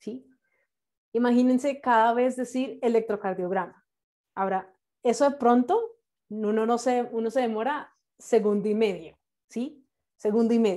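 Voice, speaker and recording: Against a quiet background, a woman talks at a moderate pace in a fairly high pitch with a dark, mellow tone. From Colombia, Bogotá. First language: English (speaking Spanish). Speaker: nurse and English terminology instructor; instructor teaching medical English to nurses. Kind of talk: online class lecture. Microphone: video call.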